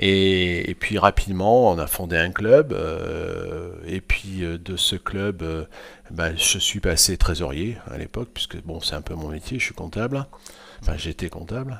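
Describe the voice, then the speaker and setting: In a very deep, low pitch, a man speaks at a very slow pace, with big swings in loudness. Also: ordinary pitch variation. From France, Limousin. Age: 60s. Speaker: sports club president. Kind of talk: podcast interview. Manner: hesitant, many fillers.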